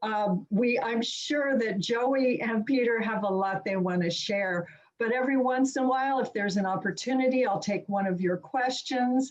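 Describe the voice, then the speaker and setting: With a plain, everyday voice, a woman speaks at a moderate pace and a fairly high pitch, with ordinary pitch variation and very even loudness. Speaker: webinar moderator. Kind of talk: speaker introduction. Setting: video call.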